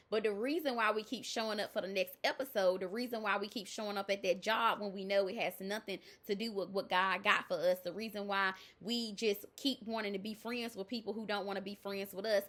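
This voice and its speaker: A woman with a Southern US accent talks fairly quickly at a medium pitch. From US South. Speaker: life coach. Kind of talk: motivational talk. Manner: loud; animated.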